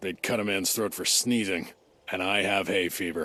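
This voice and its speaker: Putting on a raspy character voice, a man speaks at a moderate pace with a fairly low pitch. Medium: video game. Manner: sarcastic, dismissive.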